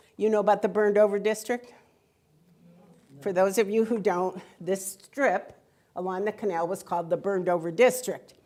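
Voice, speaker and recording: A woman with an American accent, medium pitch and a dark, mellow tone, at a moderate pace with long, frequent pauses. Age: 70s. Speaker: author. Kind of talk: public talk. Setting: museum hall with audience. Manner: animated.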